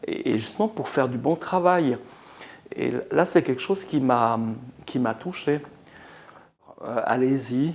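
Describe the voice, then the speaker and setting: A man with a fairly high pitch and lively intonation, speaking at a very slow pace with long, frequent pauses over noticeable background noise. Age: 60s. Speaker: dental patient. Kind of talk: testimony. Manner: halting.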